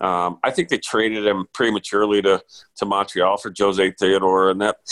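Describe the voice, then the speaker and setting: In an unremarkable speaking voice, a man with an American accent talks at a moderate pace and fairly low pitch, his intonation fairly even and the sound dry and close with no echo. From US. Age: 50s. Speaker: sports reporter. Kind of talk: casual chat.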